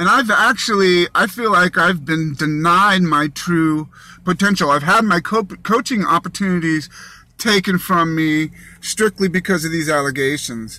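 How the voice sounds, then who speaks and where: The voice is loud with a bright, sharp tone, moving at a moderate pace with ordinary pitch variation. The recording is very clean, its background silent. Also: man, high pitch for a man. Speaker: man telling his own story of a legal dispute. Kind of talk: personal testimony. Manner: excitable.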